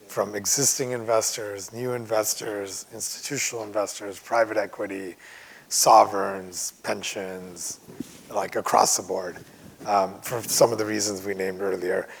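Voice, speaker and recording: A man speaks at a moderate pace with a fairly low pitch and fairly even intonation. Noticeable background noise runs behind him. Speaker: medical real estate investor panelist. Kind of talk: panel discussion.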